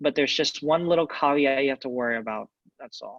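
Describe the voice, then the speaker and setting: The man talks at a moderate pace. His pitch varies in an ordinary way. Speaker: math instructor. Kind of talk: lecture. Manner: loud.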